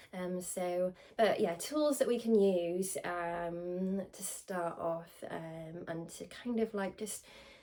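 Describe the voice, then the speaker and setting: A woman's dark, mellow tone at medium pitch, very slow yet with hardly any pauses, ordinary pitch variation and big swings in loudness. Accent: Welsh. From Wales. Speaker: spiritual medium. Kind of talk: casual talk to camera. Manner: informal, hesitant with many fillers.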